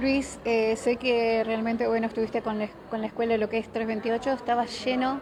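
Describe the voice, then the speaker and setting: A woman's fairly high-pitched voice, monotone and flat, at a fairly quick pace with hardly any pauses and very even loudness, over noticeable background noise. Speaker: local media interviewer. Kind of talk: interview. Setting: cultural centre after a talk.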